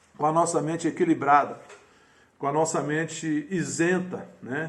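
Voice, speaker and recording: With audible room echo, a man speaks at a fairly high pitch, moderate pace and fairly even intonation. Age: 60s. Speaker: pastor. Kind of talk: sermon. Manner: halting.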